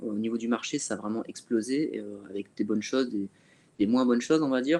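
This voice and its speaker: Dark, mellow tone from a man at a medium pitch, his pitch varying in an ordinary way. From northern France (Calais). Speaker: fitness coach. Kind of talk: webinar discussion.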